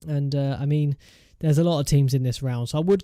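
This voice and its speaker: A man's fairly high-pitched voice with a dark, mellow tone and an English accent, fairly even intonation, a fairly quick pace, and a very clean recording with a silent background. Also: dry, close sound with no echo. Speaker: gaming YouTuber. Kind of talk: gameplay commentary. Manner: fast.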